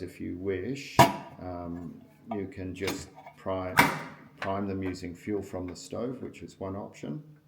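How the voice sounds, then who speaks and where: Here a man speaks fairly slowly, his pitch very deep and low. His intonation stays fairly even, and the room echo is audible. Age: 60s. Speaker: outdoor gear reviewer. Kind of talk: product review tutorial. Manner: casual, hesitant with frequent ums.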